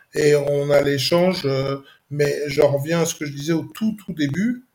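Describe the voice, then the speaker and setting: Somewhat breathy, a man speaks at a fairly high pitch. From Paris region, Saint-Denis. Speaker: former football coach. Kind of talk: casual interview.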